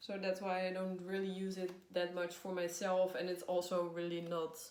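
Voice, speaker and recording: A woman with a Dutch accent speaks at a moderate pace and medium pitch, with audible room echo and noticeable background noise. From Netherlands. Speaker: tarot reader. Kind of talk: casual video talk. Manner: hesitant, many fillers.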